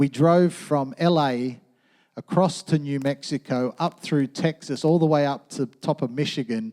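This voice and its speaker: Here a man with an Australian accent has a dark, mellow tone and a fairly high pitch. His pitch variation is ordinary, and the recording is very clean with a silent background. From Australia, western suburbs of Sydney. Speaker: pastor. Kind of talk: sermon. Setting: church. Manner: casual.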